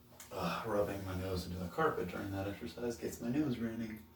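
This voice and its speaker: A soft-spoken man talks at a moderate pace over noticeable background noise. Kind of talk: casual talk to camera. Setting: home gym.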